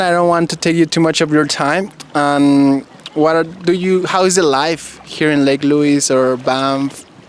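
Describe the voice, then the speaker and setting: With a Spanish accent, a man speaks fairly slowly in a fairly high voice and fairly even intonation. Background noise is noticeable. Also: very even loudness. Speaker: vlogger interviewer. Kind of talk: casual interview.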